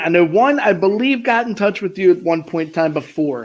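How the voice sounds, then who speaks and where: A man speaks with a Maryland accent. His pitch varies in an ordinary way. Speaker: podcast host. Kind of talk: casual chat.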